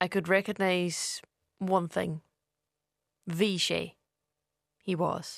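A woman with a Donegal accent speaks very slowly at a medium pitch, with vocal fry. Her intonation is monotone and flat, broken by long, frequent pauses. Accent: Donegal Irish. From Ireland, East Donegal. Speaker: poet. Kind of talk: reading aloud a personal essay.

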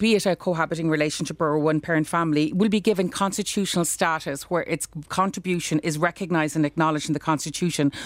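In a Cork accent, a woman with a fairly low pitch speaks at a very fast pace. Her pitch variation is ordinary. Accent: Irish (Cork). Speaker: law professor. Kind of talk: debate. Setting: studio.

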